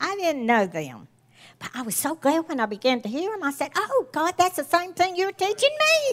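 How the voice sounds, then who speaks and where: With a Southern US accent, a woman speaks at an extremely high pitch, with very wide pitch swings and big swings in loudness. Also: moderate pace. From US South. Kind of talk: sermon.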